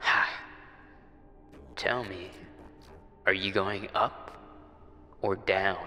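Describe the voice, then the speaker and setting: Using a put-on character voice, a man speaks at a very slow pace over clear background noise. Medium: video game. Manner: questioning, unsettling.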